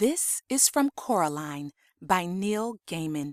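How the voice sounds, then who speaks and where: A woman with an unremarkable speaking voice talks at a fairly slow pace and a fairly low pitch, her intonation lively. The recording is very clean, with a silent background and a dry, close sound with no echo. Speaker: audiobook narrator. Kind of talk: children's audiobook reading.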